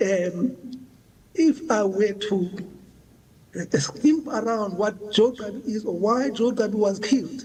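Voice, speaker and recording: Through noticeable background noise, a man with a high pitch speaks at a fairly slow pace. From South Africa. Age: 60s. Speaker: witness at a commission. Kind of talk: testimony. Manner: halting.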